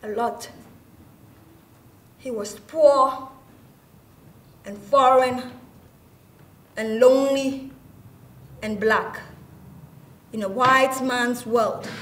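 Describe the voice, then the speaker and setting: A woman speaks at a very slow pace and a high pitch, with fairly even intonation and long, frequent pauses. Her loudness swings widely, and there is noticeable background noise. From Ghana. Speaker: actress, spoken word performer. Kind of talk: spoken word theatre performance.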